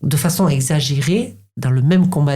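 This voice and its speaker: Here a woman speaks with a dark, mellow tone and a somewhat breathy quality. Her pitch varies in an ordinary way. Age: 50s. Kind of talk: interview. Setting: podcast recording. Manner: halting, many repetitions.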